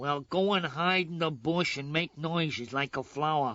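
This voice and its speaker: A man puts on a cartoonish character voice, fairly high in pitch for a male. He moves at a moderate pace with ordinary pitch variation. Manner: bossy, impatient.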